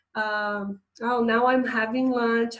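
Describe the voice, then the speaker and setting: A woman's voice sits fairly high in pitch. She speaks with a Portuguese accent. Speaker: English teacher. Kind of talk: online lesson.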